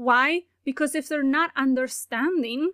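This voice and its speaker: Recorded very cleanly against a silent background, with a dry, close sound and no echo, a woman speaks at a high pitch with a non-native accent. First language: not English. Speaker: language teaching podcaster. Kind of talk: solo educational commentary.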